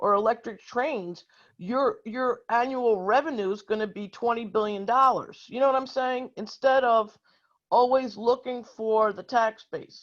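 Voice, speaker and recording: Fairly high-pitched and fairly slow, a woman talks in an unremarkable speaking voice with ordinary pitch variation against a quiet background. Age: 60s. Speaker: activist audience member. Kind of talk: audience question at virtual town hall. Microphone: connection dropped briefly.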